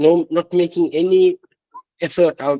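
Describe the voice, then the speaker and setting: A man with a non-native accent speaks fairly slowly in a dry, close sound with no echo. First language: not English. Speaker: participant. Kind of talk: live Q&A discussion. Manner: halting, many fillers.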